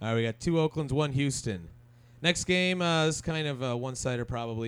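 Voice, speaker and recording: Using an ordinary speaking voice, a man with an American accent talks at a fairly high pitch and a moderate pace with lively intonation. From Minnesota. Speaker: podcast co-host. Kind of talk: casual chat.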